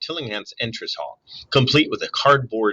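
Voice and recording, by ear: The reader speaks aloud in a natural voice with ordinary pitch variation.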